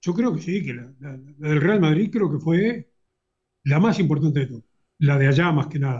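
A man with a Uruguayan accent speaks in a somewhat breathy, fairly high voice, with lively intonation and big swings in loudness. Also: moderate pace. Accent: Rioplatense Spanish (Uruguayan). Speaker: football fan and YouTube commentator. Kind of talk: casual interview chat.

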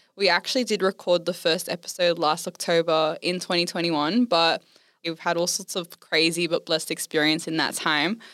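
Delivered at a moderate pace with fairly even intonation, this Australian accent comes through in a very clean recording with a silent background. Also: woman, fairly low pitch for a woman. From Western Sydney, Australia. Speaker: podcast host. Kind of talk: casual chat.

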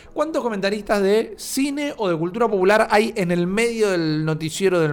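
Lively intonation runs through this man's speech. He keeps a moderate pace. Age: 30s. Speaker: podcast host. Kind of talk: casual chat.

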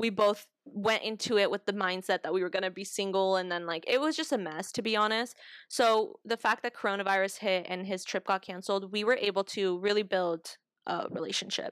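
In a normal speaking voice, a woman with an American accent talks at a fairly quick pace and medium pitch with ordinary pitch variation. The sound is dry and close, with no echo. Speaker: podcast co-host. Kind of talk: casual chat.

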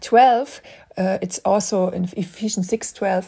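Over a silent background in a very clean recording, a woman with a non-native accent speaks at a medium pitch, her tone dark and mellow, somewhat breathy, with ordinary pitch variation. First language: not English. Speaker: podcast Bible teacher. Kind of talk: teaching monologue. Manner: halting.

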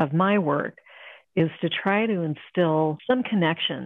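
A plain, everyday voice from a woman, fairly low in pitch, with an American accent and ordinary pitch variation. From Ohio, US Midwest. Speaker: painter and art instructor. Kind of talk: casual interview.

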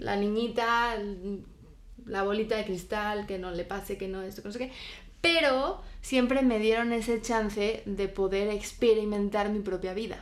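With audible room echo, a woman speaks at a fairly slow pace in a fairly high pitch, her intonation fairly even. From Spain. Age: 20s. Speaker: guest. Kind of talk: casual chat.

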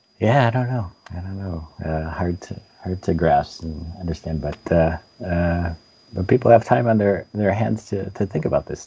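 Over noticeable background noise, a man with a very deep, low pitch speaks with big swings in loudness. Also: ordinary pitch variation, moderate pace. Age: 50s. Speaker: games journalist. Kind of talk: interview. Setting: video call.

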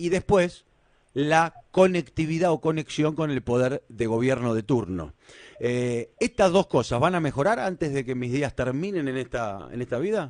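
Dry and close with no echo, a man's unremarkable speaking voice sits at a fairly high pitch, moving at a fairly slow pace with lively intonation. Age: 40s. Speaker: radio host. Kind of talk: radio interview. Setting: studio.

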